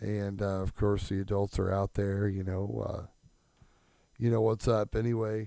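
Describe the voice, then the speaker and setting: Fairly low-pitched male voice, dark and mellow, in monotone, flat intonation, from a very clean recording with a silent background. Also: moderate pace. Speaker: wrestling podcast host. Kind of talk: podcast monologue. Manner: halting, many fillers.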